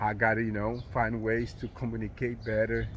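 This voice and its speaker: A man with a non-native accent, medium pitch, monotone, flat intonation and a moderate pace. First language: not English. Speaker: motivational vlogger. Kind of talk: motivational monologue. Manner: halting, many fillers.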